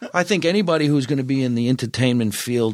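In a New Jersey accent, a man talks at a fairly quick pace, medium-pitched with ordinary pitch variation, in a very clean recording with a silent background. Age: 50s. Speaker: comedian. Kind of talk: casual chat.

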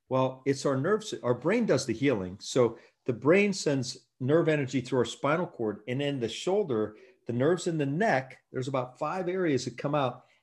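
A man speaks with a fairly high pitch and lively intonation, sounding somewhat breathy. The background is quiet. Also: moderate pace. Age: 50s. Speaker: chiropractor. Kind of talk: casual interview. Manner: animated.

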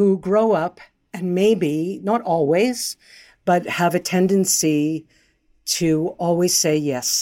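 Recorded very cleanly over a silent background, a woman with a fairly low voice speaks very slowly, with ordinary pitch variation. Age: 70s. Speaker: dream analyst. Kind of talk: interview.

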